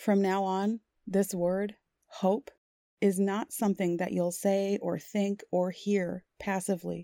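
A woman's medium-pitched voice, dark and mellow, at a very slow pace with fairly even intonation, in a dry, close recording with no echo. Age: 40s. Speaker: hypnotherapist. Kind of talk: guided hypnosis. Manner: soft-spoken.

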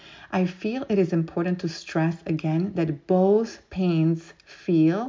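A woman speaks at a fairly low pitch. Her tone is dark and mellow.

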